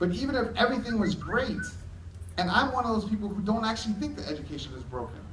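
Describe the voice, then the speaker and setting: Amid audible room echo, a man talks at a very fast pace with a high pitch. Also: ordinary pitch variation. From New York City, Hell's Kitchen. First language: Spanish. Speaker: education technology speaker. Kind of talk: conference keynote.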